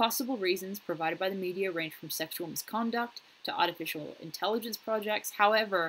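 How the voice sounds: A woman talks at a fairly quick pace in a medium pitch, with ordinary pitch variation and a fairly bright tone.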